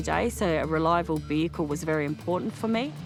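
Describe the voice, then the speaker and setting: There is music in the background. A woman speaks at a moderate pace. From Arrernte country, Central Australia. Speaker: tourism business manager. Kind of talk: interview answer.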